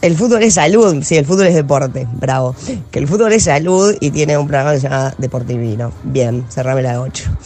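Speaking in a Rioplatense accent at a fairly quick pace, the voice has music in the background. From Uruguay. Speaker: spoken word poet. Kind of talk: spoken word poetry performance, slam style. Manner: intense, defiant and biting, with dramatic emphasis; irreverent, sarcastic, self-mocking.

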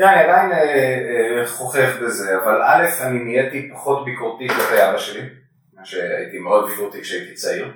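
The voice proceeds at a moderate pace. Room echo is audible around it. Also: man. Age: 40s. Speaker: coffee professional and father. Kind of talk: casual chat. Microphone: faulty microphone, poor recording quality.

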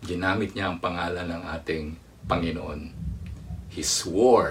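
The man's voice is somewhat breathy. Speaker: preacher. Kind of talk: sermon, live-streamed preaching with Taglish code-switching. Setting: online livestream with comment box. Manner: animated, earnest preacher delivery with rhetorical questions.

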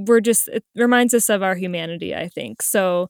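An American-accented woman with an unremarkable speaking voice, medium in pitch, at a moderate pace and fairly even intonation, in a dry, close, echo-free and very clean recording over a silent background. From New Jersey. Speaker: co-founder of a production company. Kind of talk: interview conversation.

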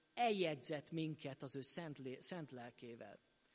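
Lively intonation marks a man speaking at a fairly slow pace. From Hungary, Sopron. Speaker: pastor. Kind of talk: sermon. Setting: church.

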